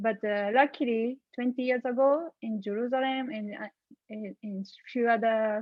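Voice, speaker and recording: Speaking with a Japanese accent, a woman has a fairly high pitch. Her intonation is fairly even and her pace moderate. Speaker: panelist. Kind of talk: panel discussion. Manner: halting.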